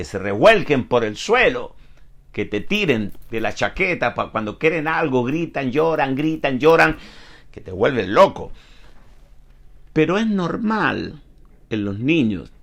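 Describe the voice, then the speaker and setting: A man with a fairly high pitch speaks very slowly, leaving long, frequent pauses. His pitch swings very widely, and there is vocal fry. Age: 70s. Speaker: pastor. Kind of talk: sermon. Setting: online broadcast.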